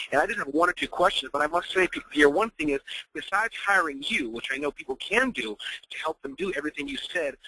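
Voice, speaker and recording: At a very fast pace, a man with a fairly high pitch and ordinary pitch variation talks in a dry, close sound with no echo. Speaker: webinar host. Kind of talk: webinar Q&A moderation. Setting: online webinar.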